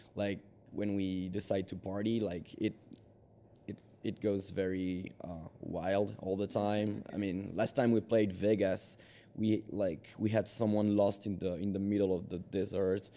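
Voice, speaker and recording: In a French accent, a man speaks fairly slowly with a dark, mellow tone, a fairly low pitch and monotone, flat intonation. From France. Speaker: band singer. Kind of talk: interview. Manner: halting, many fillers.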